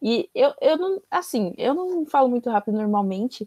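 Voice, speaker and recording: The sound is dry and close, with no echo. The tone is dark and mellow. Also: woman. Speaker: history teacher for university-prep course. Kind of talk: online lecture. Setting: recorded video lesson with screen share. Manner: fast.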